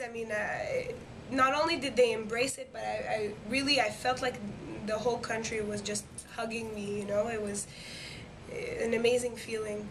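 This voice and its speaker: A woman with a French accent, fairly high in pitch with ordinary variation, at a moderate pace with long, frequent pauses and audible room echo. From Quebec, Montreal. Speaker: singer, talent show winner. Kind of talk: interview. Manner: hesitant, many fillers.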